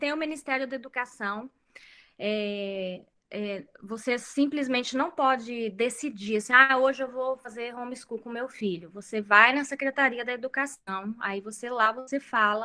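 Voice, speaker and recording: A woman speaks with a high pitch and a bright, sharp tone at a fairly slow pace. Her pitch varies in an ordinary way while her loudness swings widely. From Brazil. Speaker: homeschooling mother. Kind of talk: interview. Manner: hesitant, many fillers.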